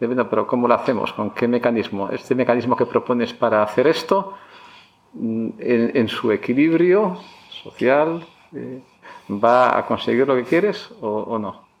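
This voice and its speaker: This man talks at a fairly slow pace, his pitch at a medium level. His intonation is lively over noticeable background noise. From Basque Country, Spain (Barakaldo). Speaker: economics professor. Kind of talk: interview. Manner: halting, many fillers and repetitions.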